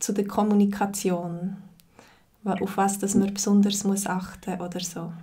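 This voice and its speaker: A woman speaks in a Zürich accent at medium pitch, her voice somewhat breathy. Her intonation is monotone and flat, at a very slow pace. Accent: Zürich Swiss German. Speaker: Swiss German teacher. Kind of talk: interviewer questions.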